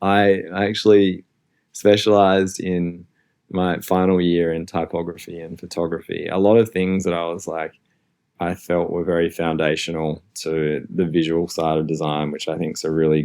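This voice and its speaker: With an Australian accent, a man talks at a moderate pace. His very deep, low voice stays monotone and flat. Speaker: design executive. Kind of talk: interview.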